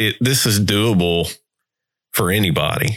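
The voice carries a Southern US accent and ordinary pitch variation. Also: man. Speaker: podcast host. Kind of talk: casual interview chat.

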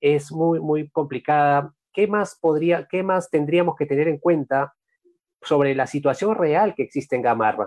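A plain, everyday voice at a fairly slow pace, with ordinary pitch variation and a dry, close sound free of echo. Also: man. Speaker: journalist, podcast host. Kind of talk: interview.

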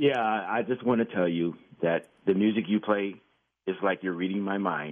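A man with an unremarkable speaking voice, fairly low in pitch, with ordinary pitch variation and a moderate pace. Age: 50s. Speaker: caller, amateur musician. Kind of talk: radio call-in.

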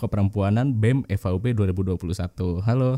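This man has a fairly low pitch with a dark, mellow tone and ordinary pitch variation. The sound is dry and close, with no echo. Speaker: law student podcast host. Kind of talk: casual chat.

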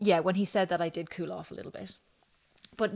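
A woman's very fast speech in monotone, flat intonation against a quiet background. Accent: Irish. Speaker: mother sharing her birth story. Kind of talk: casual interview chat.

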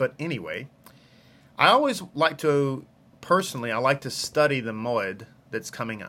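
In a Texas accent, a man speaks with a bright, sharp tone and ordinary pitch variation. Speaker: rabbi and online Torah teacher. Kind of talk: live-streamed Torah study lesson. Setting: live video stream. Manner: casual, friendly, chatty.

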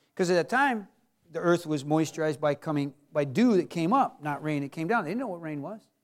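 A man talks at a very fast pace in a fairly high voice, animated in tone with lively intonation. The recording is very clean, with a silent background. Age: 50s. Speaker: pastor. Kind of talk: sermon.

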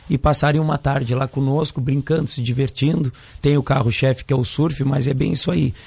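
A somewhat breathy man talks at a fairly quick pace, his fairly high pitch held in fairly even intonation. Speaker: surf school instructor. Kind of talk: radio interview.

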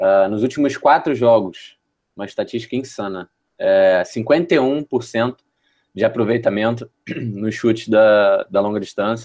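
A normal speaking voice moves at a fairly slow pace with ordinary pitch variation. The sound is dry and close, with no echo. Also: man, medium pitch for a man. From Rio de Janeiro, Brazil. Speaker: basketball podcast co-host. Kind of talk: casual sports chat. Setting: remote call.

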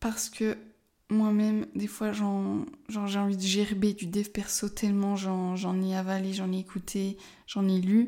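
On a very clean recording with a silent background, a woman speaks at a very slow pace and a medium pitch, her monotone, flat delivery carrying a dark, mellow tone. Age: 20s. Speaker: life coach and podcaster. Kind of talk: casual solo monologue. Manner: halting, many hesitations.

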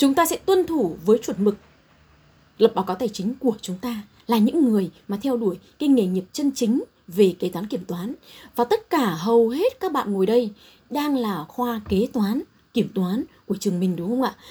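A woman's somewhat breathy, dark and mellow voice, fairly high in pitch, with lively intonation at a moderate pace, in a very clean recording with a silent background. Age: 40s. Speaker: chief accountant. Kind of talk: talk to students.

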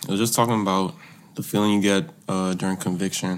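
With noticeable noise in the background, this man's fairly low voice holds a fairly even intonation. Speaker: musician. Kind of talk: interview. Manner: quiet.

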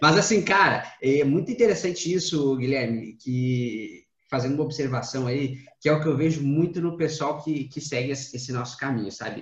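Somewhat breathy, a man's fairly high voice shows ordinary pitch variation against audible room echo. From Rio Grande do Sul, Brazil. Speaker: podcast host. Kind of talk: casual chat.

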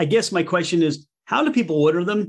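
A man with a Philadelphia accent speaks at a high pitch in a very clean recording with a silent background. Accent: Philadelphia-area American. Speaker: podcast host. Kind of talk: casual interview.

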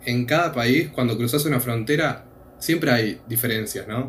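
A plain, everyday voice from a man, with ordinary pitch variation. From Argentina. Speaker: returned missionary, student. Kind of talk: casual chat.

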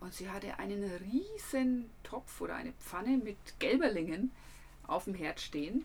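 In a Franconian accent, a woman speaks at a fairly high pitch and a fairly slow pace, her intonation lively. Her loudness swings widely, with noticeable background noise behind her. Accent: Franconian dialect, rolled R and soft D. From Franconia, Germany. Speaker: travel podcaster and photographer. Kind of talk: casual travel storytelling.

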